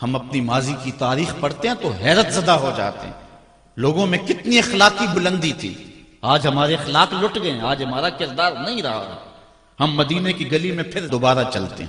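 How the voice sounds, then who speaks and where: Over noticeable background noise, a man with a fairly high pitch makes very wide pitch swings and big swings in loudness. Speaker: Islamic preacher giving a sermon. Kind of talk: religious sermon (bayan) delivered to an audience. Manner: passionate, storytelling preacher style.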